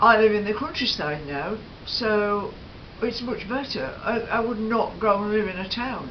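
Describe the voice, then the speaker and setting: Spoken with a British accent, the delivery is fairly slow, with ordinary pitch variation. Room echo is audible, along with noticeable background noise. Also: woman. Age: 70s. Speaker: lifestyle vlogger. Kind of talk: casual chat. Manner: hesitant, many fillers.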